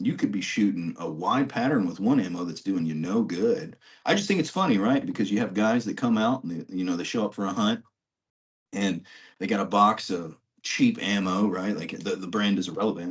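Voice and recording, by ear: With a slightly husky edge, a man talks in a low pitch at a moderate pace, his intonation lively.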